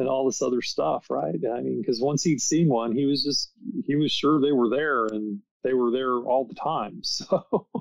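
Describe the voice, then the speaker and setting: A man speaks at a medium pitch in a normal speaking voice with an American accent, his pitch varying in an ordinary way. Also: moderate pace. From United States. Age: 60s. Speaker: author and paranormal researcher. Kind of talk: podcast interview.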